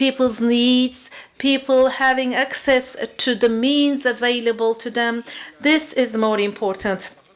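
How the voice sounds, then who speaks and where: Noticeable background noise behind a woman's high-pitched voice, fairly slow in pace and fairly even in intonation. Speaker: panelist on urban mobility. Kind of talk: panel discussion. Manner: halting.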